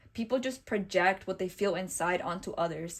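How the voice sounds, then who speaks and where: A woman with a non-native accent, medium pitch and fairly even intonation, on a very clean recording with a silent background. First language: not English. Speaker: tarot reader. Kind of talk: tarot reading monologue. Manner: warm, reassuring.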